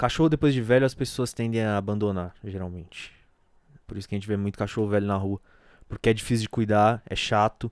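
A man talks with a fairly low pitch and fairly even intonation. The recording is very clean, its background silent. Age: 20s. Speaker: solo podcaster. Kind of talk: casual personal monologue. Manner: halting.

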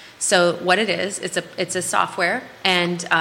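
An American accent amid noticeable background noise. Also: woman. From US Midwest, Minnesota. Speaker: health tech sales professional. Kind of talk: casual interview. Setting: live studio show. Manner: direct.

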